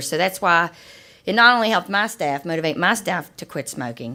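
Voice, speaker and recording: Over a very clean, silent background, a woman speaks with a slight Appalachian accent and a bright, sharp tone. Her fairly low voice moves at a fairly quick pace with lively intonation. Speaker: health program director. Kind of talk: panel discussion. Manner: animated.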